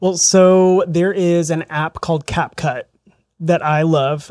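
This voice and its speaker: Recorded very cleanly against a silent background, a man with an American accent uses an ordinary speaking voice, fairly even intonation and a fairly high pitch. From southern Indiana, rural. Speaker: real estate agent. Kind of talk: interview. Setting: studio.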